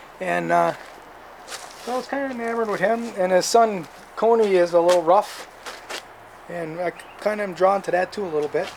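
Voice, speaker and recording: Over noticeable background noise, a man with a high voice talks at a fairly quick pace, leaving long, frequent pauses, his pitch varying in an ordinary way. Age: 60s. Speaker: hunting vlogger. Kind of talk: casual gear review monologue. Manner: halting, with many self-corrections.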